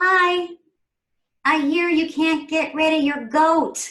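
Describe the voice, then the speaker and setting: In a put-on character voice, a woman speaks squeaky and at an extremely high pitch, at a fairly slow pace. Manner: helpful, polite.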